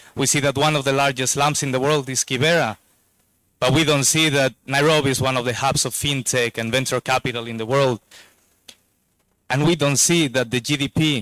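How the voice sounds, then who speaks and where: In a Spanish accent, a man speaks at a moderate pace with a bright, sharp tone and fairly even intonation, the sound dry and close with no echo. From Spain. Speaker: investor, board director. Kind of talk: speech at a launch event. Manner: hesitant, repeats words.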